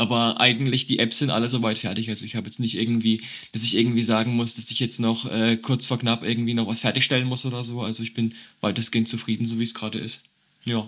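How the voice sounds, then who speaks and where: The man speaks at a very fast pace. His medium-pitched voice stays monotone and flat. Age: 20s. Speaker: geriatric nurse and nursing student. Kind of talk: casual interview.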